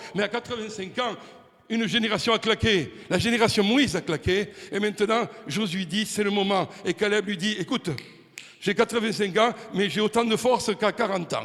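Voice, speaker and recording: A man's high-pitched voice at a moderate pace. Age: 60s. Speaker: preacher. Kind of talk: sermon. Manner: animated.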